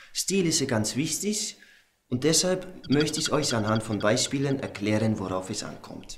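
A man speaks in a calm, serious tone. Light background noise can be heard. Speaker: comedian. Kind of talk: comedy sketch monologue. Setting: studio, showing clothes to camera with an assistant. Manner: mock-calm, slow and faux-serious, playing up a clumsy pseudo-Spanish persona.

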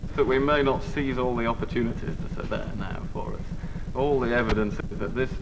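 The talking is fairly quick. Beneath it, background noise is noticeable. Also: man. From northern England. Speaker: politician. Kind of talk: TV talk show interview. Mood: relaxed, smiling. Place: studio.

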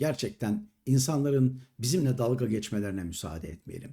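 Dark, mellow tone from a man, somewhat breathy, at a moderate pace with lively intonation. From Istanbul, Turkey. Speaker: YouTube commentator, retired entertainer. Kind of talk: monologue commentary to camera. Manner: indignant.

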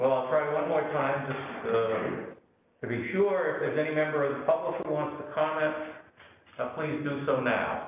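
Strong room echo and light background noise surround a man's voice. He keeps a moderate pace and fairly even intonation. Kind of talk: chairing a formal meeting. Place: meeting room. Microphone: camera far.

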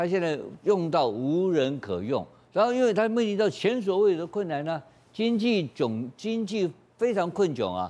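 A moderate pace and very wide pitch swings. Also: man. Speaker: TV news panelist. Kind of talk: TV current affairs panel discussion. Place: studio.

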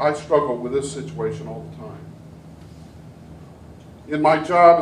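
A man talks with fairly even intonation. Light background noise and audible room echo are present. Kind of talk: sermon. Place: church. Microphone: camera far.

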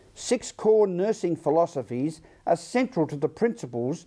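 His tone is dark and mellow, and this man's pitch sits high. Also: very clean recording, silent background. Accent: Australian. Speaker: news presenter. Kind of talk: news presenting; interview. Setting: studio.

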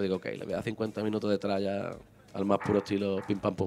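A man is speaking. He goes at a very fast pace. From Málaga, Andalusia, Spain; Andalusia, Spain. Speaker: reggae singer; guest. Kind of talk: casual interview. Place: studio. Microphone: handheld.

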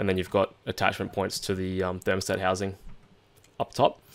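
The recording is very clean, with a silent background. A man with an Australian accent talks at a fairly quick pace. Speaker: car parts designer. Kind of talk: tutorial. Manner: halting, with fillers.

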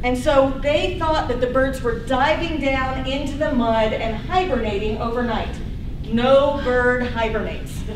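A woman's high-pitched voice with an American accent, fairly slow, with ordinary pitch variation, audible room echo and noticeable background noise. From US South. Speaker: ornithology professor. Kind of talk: lecture. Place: hall. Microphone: camera far.

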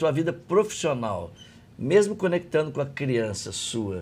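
Fairly slow delivery from a man, his pitch swinging very widely. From Brazil, outside São Paulo state. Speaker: podcast host and coaching trainer. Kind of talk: interview conversation. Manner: animated.

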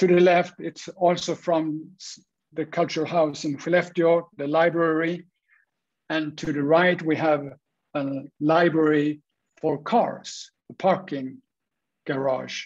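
A man with a Swedish accent, fairly high-pitched, at a very slow pace with long, frequent pauses and fairly even intonation, against a quiet background. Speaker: structural engineer, wood industry innovation head; panelist. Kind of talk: presentation. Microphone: webcam.

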